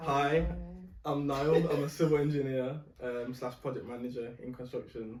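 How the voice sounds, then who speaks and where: With a Birmingham accent, the speaker talks at a moderate pace in monotone, flat intonation, and the room echo is audible. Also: man, fairly high pitch for a man. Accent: Birmingham (Brummie). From Birmingham, England. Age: 20s. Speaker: civil engineer. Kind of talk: casual chat.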